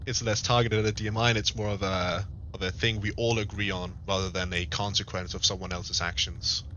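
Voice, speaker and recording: Speaking very fast with a non-native accent, a man keeps his intonation fairly even. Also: fairly low pitch for a man. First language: not English. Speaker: gaming streamer in roleplay. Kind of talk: roleplay diplomatic meeting. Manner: halting.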